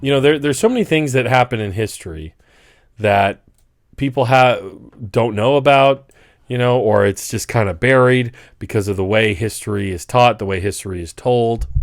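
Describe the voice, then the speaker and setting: A man with an unremarkable speaking voice, medium pitch, ordinary pitch variation and a moderate pace, in a very clean recording with a silent background. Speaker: political commentator. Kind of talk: casual commentary to camera.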